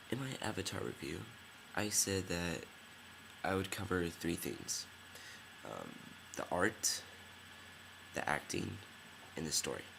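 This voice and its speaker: A man's very deep, low voice with vocal fry and a bright, sharp tone, lively intonation, a fairly slow pace and long, frequent pauses. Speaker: film reviewer. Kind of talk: casual video review. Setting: dimly lit room at night. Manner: hesitant, many fillers.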